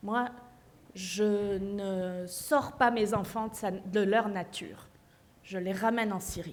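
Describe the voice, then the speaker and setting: The speaker is a woman with a medium pitch. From Syria, childhood partly in Paris and abroad. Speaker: author. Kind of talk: panel discussion.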